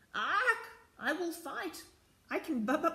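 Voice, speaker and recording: A put-on character voice comes through shrill at an extremely high pitch. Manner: fierce, defiant.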